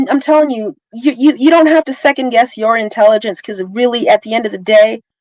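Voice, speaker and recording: Here a woman is speaking. Her pace is fairly quick. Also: dry, close sound with no echo. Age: 40s. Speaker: tech professional. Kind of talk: casual chat.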